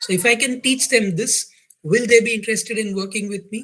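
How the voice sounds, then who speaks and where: Pitch variation is ordinary. The pace is moderate. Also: man. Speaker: business coach and workshop speaker. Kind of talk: workshop lecture. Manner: animated, conversational.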